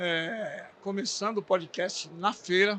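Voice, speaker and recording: A man's high-pitched voice. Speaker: podcast host for a bakery supply brand. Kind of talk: podcast interview. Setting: recorded at a trade fair. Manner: halting, stumbling over words.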